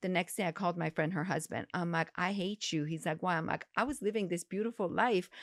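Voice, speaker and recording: In an Iranian accent, a woman talks at a very fast pace with a fairly low pitch and ordinary pitch variation, in a very clean recording with a silent background and a dry, close sound with no echo. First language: Farsi. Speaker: gynecologist. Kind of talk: interview.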